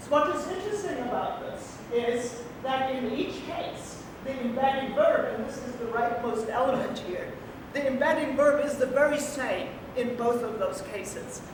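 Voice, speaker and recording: Over noticeable background noise and audible room echo, a woman with a German accent speaks at a moderate pace and a high pitch with ordinary pitch variation. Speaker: linguistics professor. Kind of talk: academic talk. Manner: halting, many fillers.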